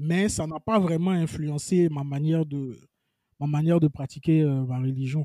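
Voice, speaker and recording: The man's voice is fairly high yet dark and mellow. He speaks at a fairly slow pace with fairly even intonation. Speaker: web columnist and writer. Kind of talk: casual interview.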